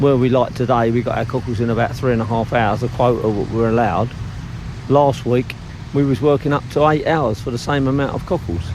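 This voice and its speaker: A man with an Essex accent talks at a medium pitch amid noticeable background noise. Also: fairly quick pace. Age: 60s. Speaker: cockle fisherman. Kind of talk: documentary interview. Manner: talkative.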